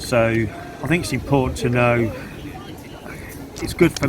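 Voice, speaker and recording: In an English accent, a man speaks at a medium pitch. The room echo is audible, and background noise is noticeable. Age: 50s. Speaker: marathon runner. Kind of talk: interview. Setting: outdoors at a marathon event.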